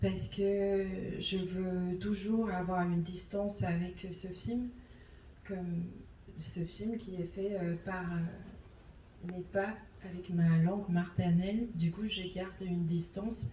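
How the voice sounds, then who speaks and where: Very slow speech in a Chinese accent, with long, frequent pauses, fairly even intonation, audible room echo and noticeable background noise. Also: woman, medium pitch for a woman. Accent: Mandarin-accented French. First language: Mandarin (speaking French). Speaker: animation film director. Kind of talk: post-screening Q&A. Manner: halting.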